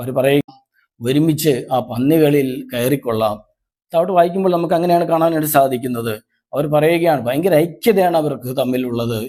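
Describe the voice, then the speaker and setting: A man talks with a dark, mellow tone. His pitch sits fairly high and varies in an ordinary way. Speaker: lay preacher. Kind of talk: sermon. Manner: formal.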